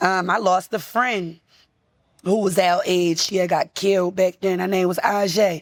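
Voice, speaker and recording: A woman with a Baltimore accent at medium pitch and a moderate pace. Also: very clean recording, silent background. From US, Baltimore. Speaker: rapper. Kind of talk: casual interview. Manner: animated.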